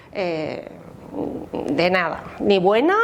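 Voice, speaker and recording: Her voice comes through clearly enough. A noticeable layer of background noise sits beneath it. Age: 60s. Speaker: memory activist. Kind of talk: interview testimony. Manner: hesitant, many fillers.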